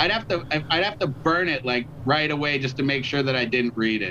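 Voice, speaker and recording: Here a man with an ordinary speaking voice talks at a moderate pace and a fairly high pitch. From Canada, Toronto. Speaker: musician. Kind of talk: casual chat. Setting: video call.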